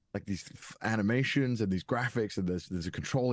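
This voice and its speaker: A man with a Welsh accent and lively intonation, against a quiet background. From Wales. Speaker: content creator and narrator. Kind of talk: interview. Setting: podcast. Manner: hesitant, many fillers.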